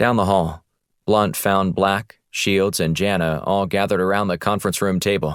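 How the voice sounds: Quiet background behind a natural reading voice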